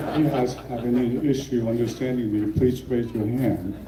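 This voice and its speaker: A man speaks at a moderate pace with a medium-pitched voice, with audible room echo and noticeable background noise. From Libya, then South Carolina. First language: not English. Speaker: retired general and physician. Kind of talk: ceremony keynote speech. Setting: outdoor ceremony with audience.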